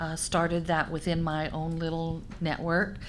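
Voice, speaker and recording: Fairly low-pitched woman at a fairly slow pace, with audible room echo. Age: 60s. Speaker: senior leader in long-term care. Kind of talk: panel discussion.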